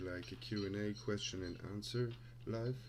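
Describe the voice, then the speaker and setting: In a room with audible echo, a man with a non-native accent talks in a fairly low voice. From Luxembourg. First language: Luxembourgish. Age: 20s. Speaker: crypto trader and streamer. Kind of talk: live stream Q&A. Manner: halting.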